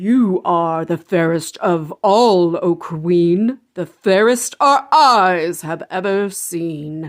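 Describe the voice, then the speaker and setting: A put-on character voice from a woman, medium in pitch and delivered at a very slow pace. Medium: read story.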